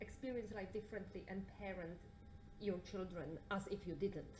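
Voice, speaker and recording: Medium-pitched woman's voice at a moderate pace, with audible room echo and noticeable background noise. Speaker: audience member. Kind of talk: audience question. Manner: loud.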